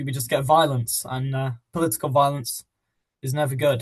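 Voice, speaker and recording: Somewhat breathy and with a British accent, a man speaks at a fairly high pitch with fairly even intonation. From England. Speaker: podcast co-host. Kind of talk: casual podcast discussion.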